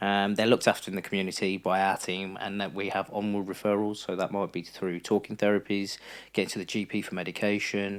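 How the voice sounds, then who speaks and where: Over a silent background in a very clean recording, a man talks at a very fast pace with a fairly low pitch and a monotone, flat intonation. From West Midlands, England (Wolverhampton). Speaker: mental health support worker and therapist. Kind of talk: podcast interview.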